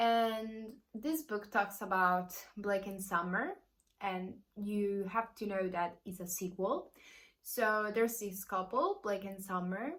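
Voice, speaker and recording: A woman with an Italian accent speaks at a very slow pace. Her medium-pitched voice has fairly even intonation. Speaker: book youtuber. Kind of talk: casual vlog review.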